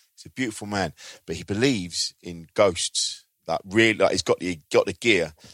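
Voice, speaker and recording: A man with an English accent speaks at a moderate pace with big swings in loudness, the sound dry and close with no echo on a very clean recording with a silent background. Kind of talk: casual recommendation.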